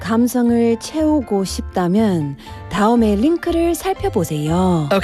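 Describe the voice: Over clear music in the background, a robotic, put-on character voice with a fairly high pitch and very wide pitch swings speaks at a fairly slow pace.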